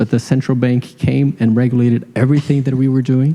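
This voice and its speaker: A man talks with a Brazilian accent. His intonation stays fairly even. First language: Portuguese. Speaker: fintech founder. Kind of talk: panel discussion.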